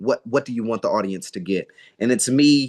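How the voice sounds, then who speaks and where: With an American accent, a man speaks at a moderate pace with ordinary pitch variation, in a dry, close sound with no echo and a quiet background. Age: 20s. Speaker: actor and singer. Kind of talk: interview. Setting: video call. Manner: halting.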